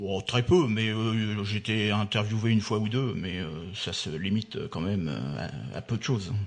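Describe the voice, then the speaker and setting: A man at a fairly low pitch and moderate pace, with ordinary pitch variation and noticeable background noise. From Normandy, France (Le Havre area). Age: 60s. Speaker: port business leader. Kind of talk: radio interview. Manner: halting, many hesitations.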